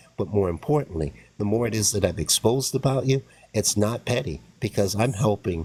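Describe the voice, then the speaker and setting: At a moderate pace, a man speaks in a fairly low, somewhat breathy voice. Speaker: online commentator. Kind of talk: heated debate. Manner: halting.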